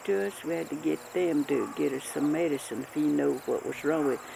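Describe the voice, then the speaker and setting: A woman talks with a Southern Appalachian accent. Noticeable background noise is present. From Western North Carolina, Appalachia. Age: 80s+. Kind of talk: oral history interview answer.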